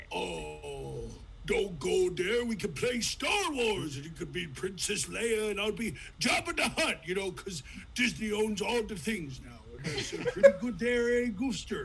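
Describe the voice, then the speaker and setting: A cartoonish character voice goes at a fairly slow pace amid clear background noise. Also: man. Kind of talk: cartoon impression, big goofy cartoon cat voice. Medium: game stream. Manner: folksy, goofy, ends phrases with "there".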